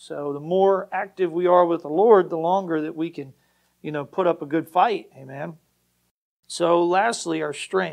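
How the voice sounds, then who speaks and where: A high-pitched male voice with fairly even intonation over a quiet background. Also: moderate pace. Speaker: pastor. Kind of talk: Baptist sermon, exhortational point-by-point preaching with repeated refrains. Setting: church. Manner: emphatic, driving repetition of short commands; conversational with frequent fillers and self-corrections.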